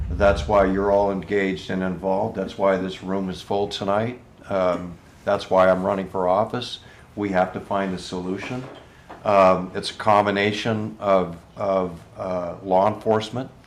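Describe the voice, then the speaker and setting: A man speaking at a fairly slow pace in a flat monotone, with audible room echo. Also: fairly low pitch for a man. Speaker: political candidate. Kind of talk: town hall Q&A. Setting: room with live audience. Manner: halting, many fillers.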